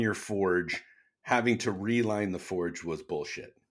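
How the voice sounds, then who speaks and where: At a fairly slow pace, a man with a plain, everyday voice and fairly low pitch speaks with ordinary pitch variation in a very clean recording with a silent background. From Canada. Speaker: knife maker, YouTuber and podcast co-host. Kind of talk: casual chat.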